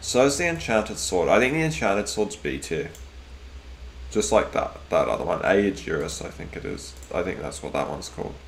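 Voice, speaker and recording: Someone with an Australian accent talks at a fairly quick pace, with audible room echo. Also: man. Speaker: gaming streamer. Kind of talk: casual live stream commentary. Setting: live stream. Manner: hesitant, many fillers and repeats.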